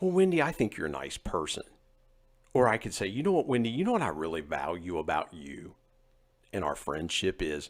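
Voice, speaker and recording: In a slight West Virginia accent, a man speaks at a fairly quick pace with a very deep, low pitch and very wide pitch swings, on a very clean recording with a silent background. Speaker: podcast host. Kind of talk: casual interview chat.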